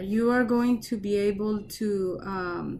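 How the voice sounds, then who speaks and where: With a Colombian accent, a woman speaks at medium pitch in a somewhat breathy voice with ordinary pitch variation. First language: Spanish. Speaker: research scientist. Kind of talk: talk and Q&A. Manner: halting, repetitive.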